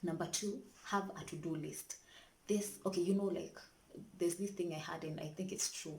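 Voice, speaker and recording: A woman speaks quietly at a fairly low pitch and a moderate pace, with fairly even intonation. Her long pauses come often, and room echo is audible. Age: young. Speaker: vlogger, student mother. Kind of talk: casual vlog tips. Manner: quiet, keeping voice down.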